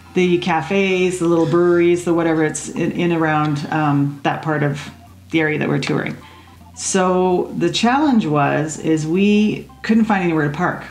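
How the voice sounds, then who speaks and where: A woman at a fairly low pitch, ordinary pitch variation and moderate pace over faint music in the background. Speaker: podcast co-host. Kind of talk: casual conversational chat. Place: home room.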